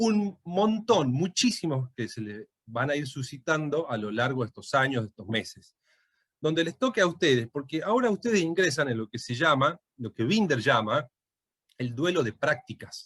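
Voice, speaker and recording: The voice swings very widely in pitch and sounds somewhat breathy, moving at a moderate pace in a dry, close recording with no echo. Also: man. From Tucumán, Argentina. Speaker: lawyer and law lecturer. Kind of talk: lecture. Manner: hesitant, many fillers.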